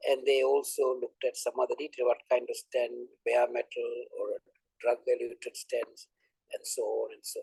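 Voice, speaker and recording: A dry, close sound with no echo marks this man's recording. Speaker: invited academic speaker. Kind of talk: lecture. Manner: fast.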